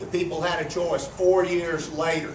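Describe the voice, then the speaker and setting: This man's speech is heard with distinct background noise and clear echo from the room. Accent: American. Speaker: county judge running for re-election. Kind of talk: campaign speech. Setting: club meeting with audience. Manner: slow drawl.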